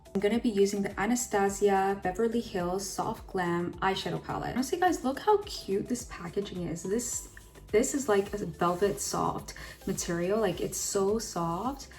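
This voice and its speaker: Over noticeable background noise, a woman speaks in an upbeat tone at a moderate pace. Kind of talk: makeup tutorial talk to camera. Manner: casual, upbeat.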